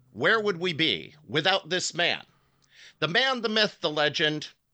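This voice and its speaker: A man talks in an ordinary speaking voice at a fairly slow pace. His intonation is lively. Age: 50s. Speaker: podcast host. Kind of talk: casual chat.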